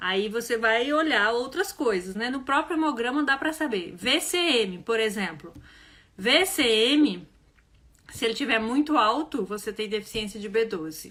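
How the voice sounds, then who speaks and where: Her voice is animated, with a bright, sharp tone, as this woman uses lively intonation at a fairly high pitch and a fairly slow pace. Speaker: health educator. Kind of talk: live online class. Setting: livestream.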